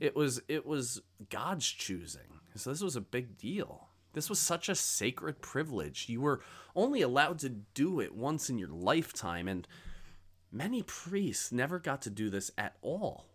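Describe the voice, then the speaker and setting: In a very clean recording with a silent background, a man talks at a moderate pace. His fairly high pitch swings very widely, with vocal fry. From rural area. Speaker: pastor. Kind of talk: sermon.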